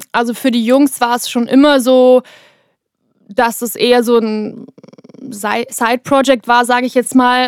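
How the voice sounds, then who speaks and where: Dry and close with no echo, a woman's high-pitched voice moves at a moderate pace with fairly even intonation. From Bavaria, Germany. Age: 20s. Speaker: singer and songwriter. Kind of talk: interview, casual chat. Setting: vocal booth in a recording studio.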